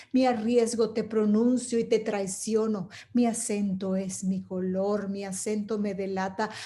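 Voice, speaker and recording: A woman's somewhat breathy, dark, mellow voice, fairly high in pitch, fairly slow, with monotone, flat intonation. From Venezuela. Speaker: poet and storyteller. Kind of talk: poetry reading.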